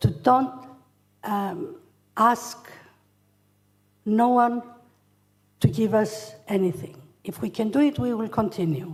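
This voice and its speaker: Speaking at a very slow pace, a woman with a somewhat breathy voice and fairly high pitch uses lively intonation. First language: Greek. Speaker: charity founder. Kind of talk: acceptance speech. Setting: hotel hall with audience. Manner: halting.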